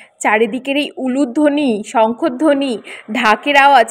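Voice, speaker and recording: A woman speaks with lively intonation. Her pitch is high. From West Bengal, India. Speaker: vlogger. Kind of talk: casual vlog narration. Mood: excited, festive. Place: street. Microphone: phone near.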